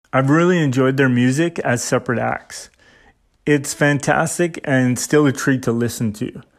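A man with an ordinary speaking voice talks at a moderate pace and medium pitch with ordinary pitch variation, in a Canadian accent, on a very clean recording with a silent background. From Saskatchewan, Canada. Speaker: podcaster. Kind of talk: personal monologue.

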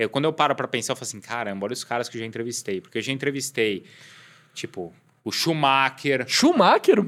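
A man with an ordinary speaking voice, a medium pitch, lively intonation and a fairly quick pace. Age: 30s. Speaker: sports TV anchor and journalist. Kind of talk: casual chat.

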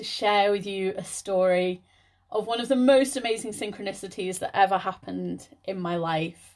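A woman with a British accent speaks at a medium pitch and a moderate pace, against a quiet background. Her loudness swings widely. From Liverpool area, England. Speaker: spiritual healer and podcast host. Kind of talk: solo podcast talk.

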